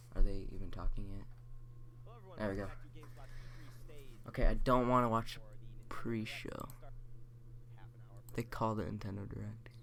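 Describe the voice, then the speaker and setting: In a room with audible echo, a man of medium pitch talks at a moderate pace, with big swings in loudness and long, frequent pauses. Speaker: gaming streamer. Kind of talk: live reaction commentary. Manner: animated.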